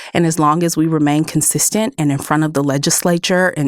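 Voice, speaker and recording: With a slight Texas accent, a woman talks at a fairly quick pace. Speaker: solar company policy director. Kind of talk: interview.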